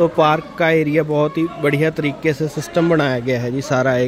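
Speaking at a moderate pace with fairly even intonation, a man with a fairly high pitch is heard over faint background noise.

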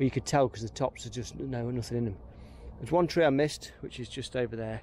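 There is light background noise as a man speaks with ordinary pitch variation, the sound dry with no echo. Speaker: woodland worker vlogger. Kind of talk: casual vlog chat. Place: forest. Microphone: phone near.

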